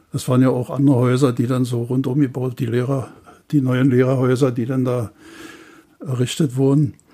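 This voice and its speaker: Speaking at medium pitch in a monotone, flat intonation, a man keeps a moderate pace with a dark, mellow tone and long, frequent pauses. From Bernau, Brandenburg. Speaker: retiree and contemporary witness. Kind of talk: reminiscing interview. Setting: archive room on location. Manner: halting.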